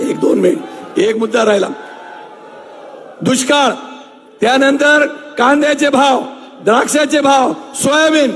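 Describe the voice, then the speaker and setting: An extremely high-pitched male voice over noticeable background noise. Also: ordinary pitch variation, very even loudness. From Maharashtra, Nashik district (Chandwad). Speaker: local politician. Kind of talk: rally speech. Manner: halting.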